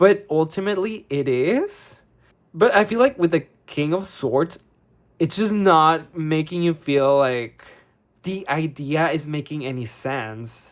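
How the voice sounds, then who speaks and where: Fairly slow speech with a non-native accent. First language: not English. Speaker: tarot reader. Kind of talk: tarot reading monologue. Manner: halting, searching for words; casual, filler-heavy.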